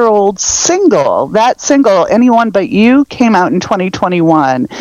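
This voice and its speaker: The voice moves slowly, at a fairly slow pace, with very wide pitch swings and noticeable background noise. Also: woman. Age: 50s. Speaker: pop punk music fan. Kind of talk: casual chat.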